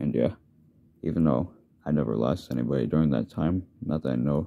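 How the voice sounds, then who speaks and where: Very deep and low, a man's dark, mellow voice carries vocal fry and an American accent. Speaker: YouTuber. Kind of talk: personal video message. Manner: halting, repetitive.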